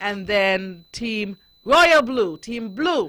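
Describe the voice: A woman speaks very slowly, her intonation lively. Her pitch sits in the middle range, and her tone is fairly bright.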